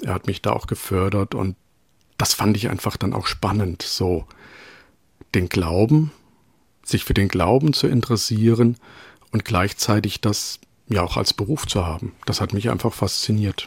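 Through a dry, close sound with no echo, a man speaks fairly slowly in a somewhat breathy, fairly low voice with ordinary pitch variation and long, frequent pauses. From Rhön, Germany. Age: 40s. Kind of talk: interview. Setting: remote call from home.

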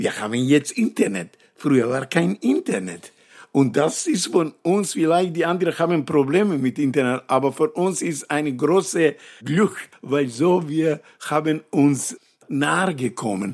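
A plain, everyday voice from a man, fairly high, fairly slow, with lively intonation. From North Macedonia. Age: 60s. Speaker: actor and poet. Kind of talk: interview. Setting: at his home.

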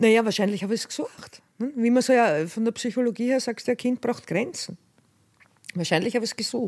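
A woman with a fairly high pitch and ordinary pitch variation is heard on a very clean recording with a silent background. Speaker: former drug dealer. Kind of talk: testimony.

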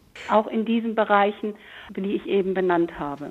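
This is a normal speaking voice, moving at a moderate pace with ordinary pitch variation. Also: woman. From Hamburg. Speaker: historian. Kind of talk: panel discussion.

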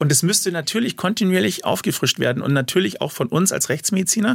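Very fast, lively speech at a very even loudness. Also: man. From Munich. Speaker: forensic pathologist. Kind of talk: interview.

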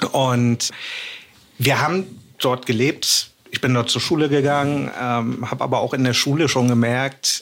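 This man has a plain, everyday voice at a medium pitch. He talks at a fairly slow pace with ordinary pitch variation. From Hamburg, northern Germany. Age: 40s. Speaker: podcast guest telling own fraud story. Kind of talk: personal storytelling in casual chat.

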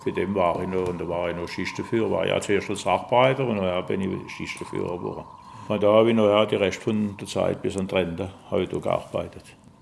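Fairly even intonation from a man at a fairly low pitch, amid noticeable background noise. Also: moderate pace. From Alsace, France. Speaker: retired factory worker, angling club board member. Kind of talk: interview. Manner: halting.

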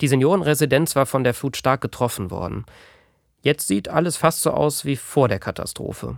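A man with vocal fry and lively intonation speaks at a moderate pace and a fairly high pitch in a very clean recording with a silent background. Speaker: podcast host and journalist. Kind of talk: scripted narration.

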